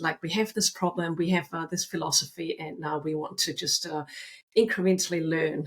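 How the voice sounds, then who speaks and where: Somewhat breathy and fairly low-pitched, this woman talks at a moderate pace with fairly even intonation. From Austria. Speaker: author and agile consultant. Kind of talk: podcast interview.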